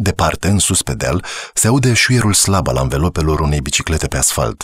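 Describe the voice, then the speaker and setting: The voice has a calm tone with vocal fry and very wide pitch swings. The recording is very clean, with a silent background. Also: man, dry, close sound with no echo. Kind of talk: audiobook narration. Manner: measured, calm, storytelling pace with a reflective tone.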